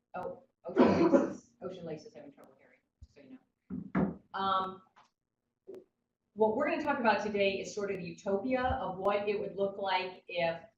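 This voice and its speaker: Her voice somewhat breathy and medium in pitch, a woman speaks with lively intonation and big swings in loudness. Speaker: education official and workshop leader. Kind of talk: online workshop presentation. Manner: fast.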